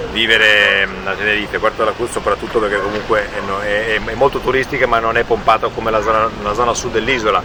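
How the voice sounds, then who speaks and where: Over noticeable background noise, a man with a fairly low pitch speaks very fast in a monotone, flat delivery with hardly any pauses. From northern Italy, Ferrara. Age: 40s. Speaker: real estate agent and relocation helper. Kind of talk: casual interview conversation. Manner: halting, many repetitions.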